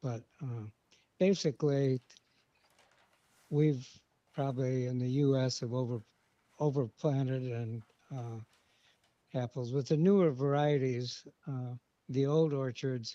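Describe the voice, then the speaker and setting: Speaking in a Midwestern American accent, a man with a medium-pitched, dark, mellow tone keeps his intonation fairly even and leaves long, frequent pauses, the sound dry and close with no echo. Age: 80s+. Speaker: farmer. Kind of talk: casual interview. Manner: hesitant, many uh fillers.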